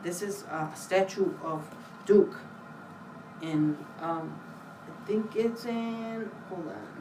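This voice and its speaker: Delivered at a very slow pace with long, frequent pauses and big swings in loudness, the speech carries audible room echo and noticeable background noise. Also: woman, medium pitch for a woman, ordinary pitch variation. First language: Spanish. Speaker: library staff giving book talk. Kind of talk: book talk for children. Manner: casual, hesitant with fillers.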